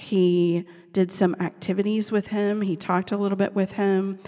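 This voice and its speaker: A woman at a moderate pace, medium in pitch, with a dark, mellow tone. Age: 40s. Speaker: podcast host and parenting author. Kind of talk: personal monologue. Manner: casual with frequent fillers.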